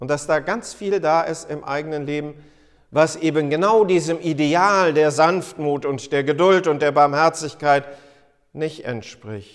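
With ordinary pitch variation, a plain, everyday voice talks at a fairly slow pace. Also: man, fairly high pitch for a man. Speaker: pastor. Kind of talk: sermon. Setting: church. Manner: formal; earnest.

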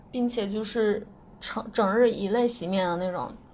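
Speaking at a moderate pace, a woman has a fairly high pitch and ordinary pitch variation. She has an unremarkable speaking voice. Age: 20s. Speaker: listener contributor, software worker. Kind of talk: recorded personal testimony.

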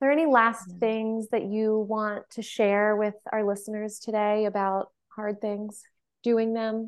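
Fairly high in pitch, a woman speaks at a fairly slow pace in a flat monotone. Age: 30s. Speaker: podcast host. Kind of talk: casual chat.

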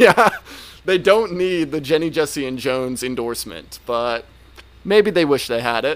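In an American accent, a man talks at a moderate pace. He has an unremarkable speaking voice with a fairly high pitch. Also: lively intonation. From Northern Virginia. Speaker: former teacher and podcast host. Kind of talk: casual chat.

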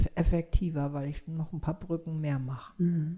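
Her voice is fairly low for a woman, with a dark, mellow tone, somewhat breathy, at a moderate pace. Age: 60s. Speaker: yoga teacher and psychotherapist. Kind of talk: casual interview chat.

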